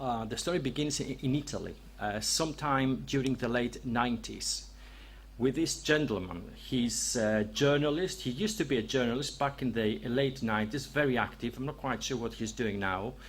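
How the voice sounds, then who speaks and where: A speaker with a strong Greek accent talks at a moderate pace. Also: man. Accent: heavy Greek. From Greece. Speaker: researcher and author. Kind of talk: presentation to audience. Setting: venue with live audience. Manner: hesitant, many fillers.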